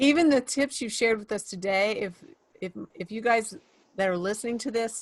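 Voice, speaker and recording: Using an ordinary speaking voice, a woman speaks with ordinary pitch variation. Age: 60s. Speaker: podcast host. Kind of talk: interview podcast.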